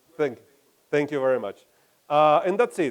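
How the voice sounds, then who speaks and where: Ordinary pitch variation in a man's voice. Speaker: game studio CEO. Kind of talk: conference talk and Q&A. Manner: halting.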